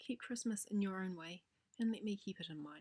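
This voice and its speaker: Soft-spoken and somewhat breathy, a woman talks at a moderate pace and medium pitch with ordinary pitch variation, in a dry, close sound with no echo. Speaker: narrator. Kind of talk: audiobook reading.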